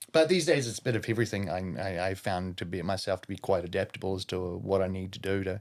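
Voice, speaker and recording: Very fast and very deep, low-pitched, a man talks with a New Zealand accent on a very clean recording with a silent background. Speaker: professional wrestler and chef. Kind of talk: casual chat. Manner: loud.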